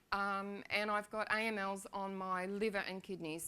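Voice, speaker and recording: A woman with an Australian accent talks in a bright, sharp tone. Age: 60s. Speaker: patient sharing her illness story. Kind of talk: testimony. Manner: unscripted, with hesitations.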